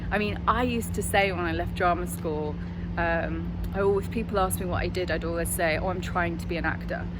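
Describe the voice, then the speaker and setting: A woman talks at a fairly quick pace with audible room echo and noticeable background noise. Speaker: acting coach. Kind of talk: vlog-style advice talk. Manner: fast.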